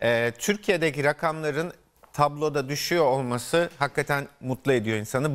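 A man's voice sits fairly high in pitch, and its pitch varies in an ordinary way. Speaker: physician co-host. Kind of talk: TV health talk show. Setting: studio. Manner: jovial. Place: studio.

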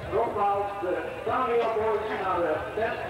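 A man speaks very slowly amid noticeable background noise and strong room echo. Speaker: festival announcer. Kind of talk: public announcement. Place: open country. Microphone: pa.

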